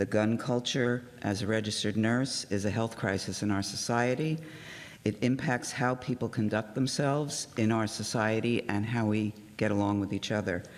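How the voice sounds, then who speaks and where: Speaking at a moderate pace, a man keeps his intonation fairly even and his loudness very even. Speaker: registered nurse and community representative. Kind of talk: public remarks accepting a proclamation. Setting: city commission meeting.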